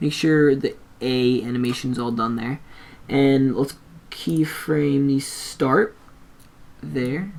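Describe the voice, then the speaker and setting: Speech comes very slowly, broken by long, frequent pauses. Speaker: software tutorial maker. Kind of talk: tutorial. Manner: casual.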